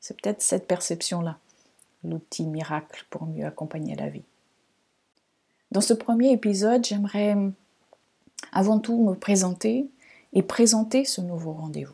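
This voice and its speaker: Calm in tone and dark and mellow, a woman's somewhat breathy voice at medium pitch moves at a fairly slow pace with long, frequent pauses. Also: ordinary pitch variation. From Portugal, Lisbon. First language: Portuguese (speaking French). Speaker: astrologer, podcast host. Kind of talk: podcast monologue. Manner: calm, reflective, with some hesitations.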